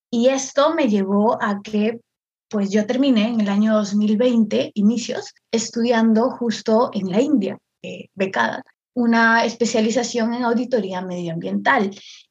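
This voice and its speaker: Fairly slow, somewhat breathy delivery with fairly even intonation. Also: woman, fairly high pitch for a woman. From northern Peru, Chiclayo. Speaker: content creator and artist. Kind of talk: casual chat.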